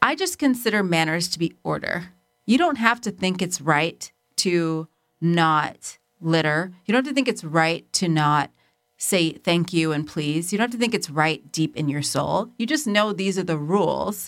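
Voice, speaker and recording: A woman speaks in a normal speaking voice, pitched fairly low, with lively intonation. The recording is very clean, with a silent background. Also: moderate pace. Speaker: podcast co-host. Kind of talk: casual chat.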